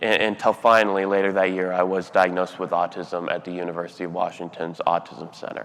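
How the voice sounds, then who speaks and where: A man with a very deep, low pitch talks at a very fast pace with hardly any pauses, in a monotone, flat intonation. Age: 30s. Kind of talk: keynote speech.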